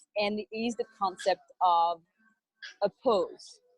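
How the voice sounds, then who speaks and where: A woman's medium-pitched voice with a French accent, ordinary pitch variation, and a dry, close sound with no echo. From France. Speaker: wellness entrepreneur. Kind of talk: interview.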